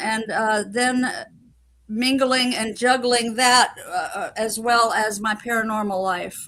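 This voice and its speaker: A woman speaks at a fairly slow pace in a bright, sharp tone. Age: 70s. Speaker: psychic medium and experiencer. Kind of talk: interview storytelling. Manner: halting, with many fillers.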